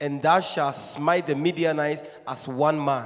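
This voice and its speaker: Fairly slow and fairly high-pitched, a man talks in an unremarkable speaking voice. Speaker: scripture reader. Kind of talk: reading aloud. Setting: church.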